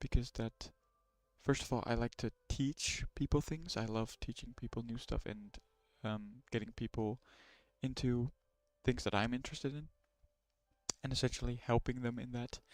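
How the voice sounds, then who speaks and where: With a non-native accent, a man speaks at a moderate pace in a dry, close sound with no echo. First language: not English. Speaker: streamer learning ethical hacking. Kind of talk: live stream tutorial. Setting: live stream with screen share.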